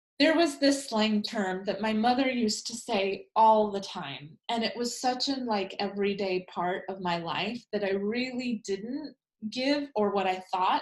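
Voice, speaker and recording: A woman with a fairly high pitch is speaking. She goes at a fairly slow pace with ordinary pitch variation. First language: Spanish. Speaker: life coach trainer. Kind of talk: lecture.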